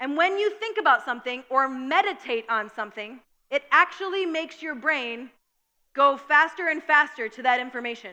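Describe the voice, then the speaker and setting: With a bright, sharp tone and a high pitch, a woman uses a raised, projected voice at a moderate pace, her intonation lively and her loudness swinging widely. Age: 30s. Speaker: pastor. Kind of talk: sermon. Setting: church.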